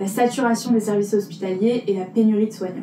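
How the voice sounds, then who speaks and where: A woman speaks with a Parisian accent at a fairly high pitch. Her pitch varies in an ordinary way over noticeable background noise. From Paris, France. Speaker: podcast columnist. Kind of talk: podcast segment presenting facts. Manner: casual, hesitant with fillers.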